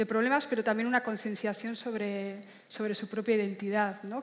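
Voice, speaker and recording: Through noticeable background noise, a woman speaks at a moderate pace in a monotone, flat intonation. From Basque Country, Spain. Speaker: novelist. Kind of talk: literary panel discussion.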